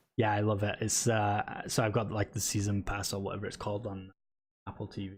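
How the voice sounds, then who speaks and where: Speaking at a fairly quick pace, a man keeps a monotone, flat intonation at a fairly low pitch. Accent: British. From Britain. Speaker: esports podcast host. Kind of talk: casual chat. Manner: halting, many fillers.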